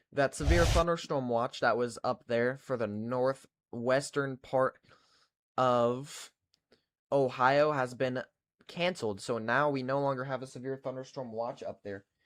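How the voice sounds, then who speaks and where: This man, with a Kentucky accent, speaks fairly slowly at a medium pitch with fairly even intonation. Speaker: weather livestreamer. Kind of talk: live weather coverage with chat. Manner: casual, chatty.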